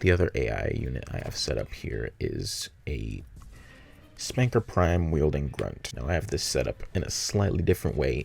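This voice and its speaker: A man speaks at a moderate pace in a very deep, low pitch with vocal fry and very wide pitch swings. The recording is very clean, with a silent background. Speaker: game level designer. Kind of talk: tutorial voice-over narration.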